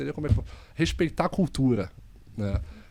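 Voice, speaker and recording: A man's fairly high, dark, mellow voice in a Carioca accent, fairly quick, with very wide pitch swings, in a very clean recording with a silent background. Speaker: investment firm executive. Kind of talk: podcast interview.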